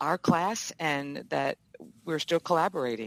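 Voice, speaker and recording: Dry and close with no echo, a woman with an American accent speaks at a moderate pace in a very deep, low pitch, with vocal fry and lively intonation. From Virginia. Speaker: communications instructor. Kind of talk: interview. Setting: video call.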